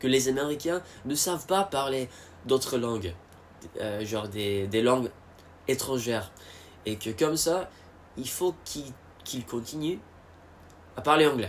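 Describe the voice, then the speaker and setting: An English accent at a fairly slow pace, with lively intonation and long, frequent pauses. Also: man, medium pitch for a man. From United States. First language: English (speaking French). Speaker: vlogger. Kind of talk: casual monologue. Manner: halting, many fillers and repetitions.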